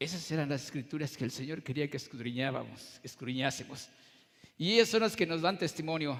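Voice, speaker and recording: A man with a plain, everyday voice, a fairly quick pace and lively intonation. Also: fairly high pitch for a man. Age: 60s. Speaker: pastor. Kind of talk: sermon.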